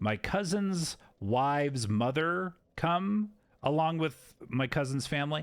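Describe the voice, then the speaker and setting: A man speaks very slowly, his pitch fairly high and his intonation lively. His loudness stays very even. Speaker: video game streamer. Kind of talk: live gameplay stream chat. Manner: sounds sarcastic even when sincere.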